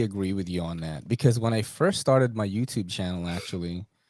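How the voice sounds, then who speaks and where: A man with a New York accent at a fairly quick pace, on a very clean recording with a silent background. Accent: New York American. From New York City, US. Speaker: knife YouTuber, podcast host. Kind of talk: casual interview chat.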